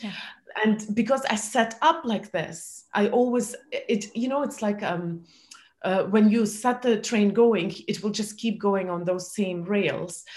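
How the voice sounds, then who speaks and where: A woman speaks at a fairly slow pace in a fairly high, somewhat breathy voice with ordinary pitch variation. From former Soviet Union. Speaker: entrepreneur and speaker. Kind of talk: interview. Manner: halting.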